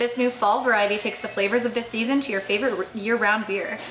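Over noticeable background noise, a woman speaks at a very fast pace with fairly even intonation. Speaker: beer channel co-host. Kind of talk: casual beer tasting chat. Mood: relaxed, joking. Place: bar.

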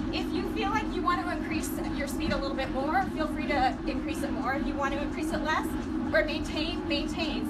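A woman speaks over loud background noise. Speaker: instructor. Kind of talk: workout instruction. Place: gym. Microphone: camera far.

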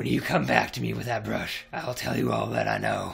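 Raspy and fairly quick, this is a put-on character voice. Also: man, very deep, low pitch for a man.

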